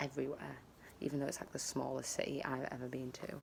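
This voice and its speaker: Speaking at a fairly quick pace, a woman with a British accent has a very deep, low pitch. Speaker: travel vlogger. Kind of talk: casual vlog. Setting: outdoors in garden. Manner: quiet.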